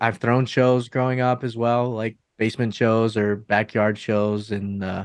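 This man talks in a normal speaking voice, his pitch medium and his intonation fairly even. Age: 20s. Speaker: metal band vocalist. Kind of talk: interview.

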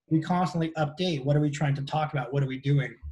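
A man speaks with an American accent in a fairly high, somewhat breathy voice. He talks very fast with fairly even intonation. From Southern California beach area. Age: 50s. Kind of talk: casual interview chat.

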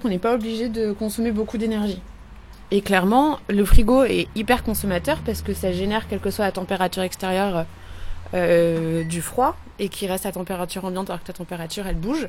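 A woman speaks at a medium pitch in a normal speaking voice. Her pitch varies in an ordinary way. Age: 20s. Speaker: climate activist. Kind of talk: casual chat; reading aloud.

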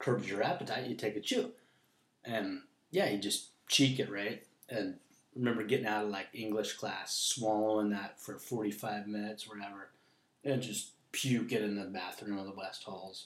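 This is an ordinary speaking voice. It keeps a moderate pace with fairly even intonation. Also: man, fairly low pitch for a man. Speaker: former high school wrestler. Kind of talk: casual chat. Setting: at home.

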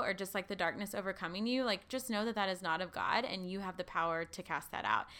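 A woman with lively intonation and a bright, sharp tone, on a very clean recording with a silent background. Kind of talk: casual chat. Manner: fast talker.

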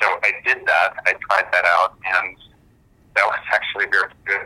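A man with an American accent, at a moderate pace. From Germany, partly New Jersey. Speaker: film director. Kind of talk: interview. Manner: hesitant, with fillers.

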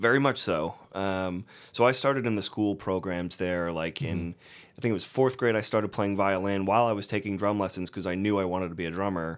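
He has an ordinary speaking voice, fairly low for a man, with ordinary pitch variation. The man speaks at a fairly quick pace. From Northeast Ohio. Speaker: touring drummer and music teacher. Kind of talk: casual interview.

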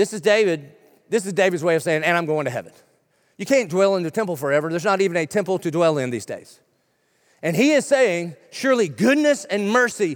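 A man with a Southern US accent speaks at a high pitch and fairly quick pace with lively intonation, on a very clean recording with a silent background. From South Carolina. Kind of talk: sermon. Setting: church.

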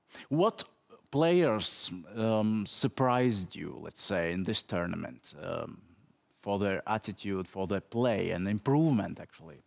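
Delivered at a fairly slow pace, a normal speaking voice carries lively intonation. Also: man, fairly low pitch for a man. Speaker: TV interviewer. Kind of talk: interview.

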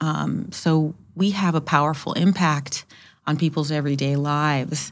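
A woman speaks at a fairly slow pace with a very deep, low pitch and monotone, flat intonation. The recording is very clean with a silent background. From Hawaii, then California. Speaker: city public works director. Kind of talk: interview conversation.

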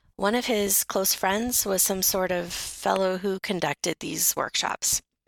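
Recorded very cleanly against a silent background, a woman with a medium pitch and vocal fry speaks at a moderate pace in a dry, close sound with no echo. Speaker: radio co-host telling a personal story. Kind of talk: personal storytelling, pre-recorded. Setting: recorded separately, not in studio.

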